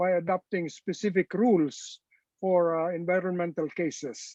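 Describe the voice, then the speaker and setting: With a Filipino accent, a man speaks in a high voice at a moderate pace. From Philippines. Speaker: retired supreme court justice. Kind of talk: panel discussion. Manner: halting, frequent hesitations.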